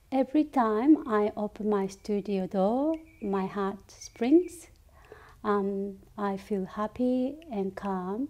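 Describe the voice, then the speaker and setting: With a Japanese accent, a woman with a fairly high pitch and a dark, mellow tone speaks at a very slow pace. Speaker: ceramic artist. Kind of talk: interview monologue. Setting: studio. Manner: halting. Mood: calm, gentle, reflective. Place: workshop.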